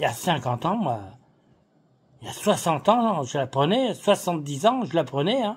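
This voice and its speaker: A man with a high pitch swings very widely in pitch, leaving long, frequent pauses. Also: moderate pace, big swings in loudness. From France. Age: 70s. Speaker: political activist. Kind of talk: political monologue. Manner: casual; animated.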